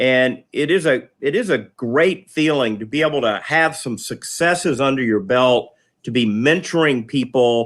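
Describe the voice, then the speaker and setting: A man talks at a moderate pace with hardly any pauses, in a normal speaking voice. His pitch is fairly high with ordinary pitch variation, on a very clean recording with a silent background. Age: 60s. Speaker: public servant. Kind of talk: casual chat.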